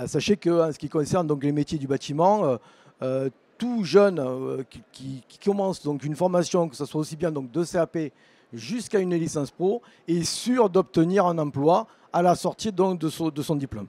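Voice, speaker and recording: A man with a southern French accent and fairly high pitch, in a dry, close sound with no echo. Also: ordinary pitch variation, moderate pace, big swings in loudness. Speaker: vocational teacher. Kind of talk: presentation at an education fair. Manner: halting, many fillers.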